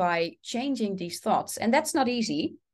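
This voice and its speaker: With a Dutch accent, a woman speaks at a moderate pace in a fairly high voice with lively intonation against a quiet background. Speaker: English coach, former teacher. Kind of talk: interview conversation.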